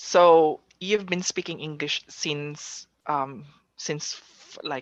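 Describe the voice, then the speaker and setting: A woman talks very slowly in a very deep, low voice with fairly even intonation. Her loudness swings widely. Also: dry, close sound with no echo. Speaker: session moderator. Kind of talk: conference Q&A.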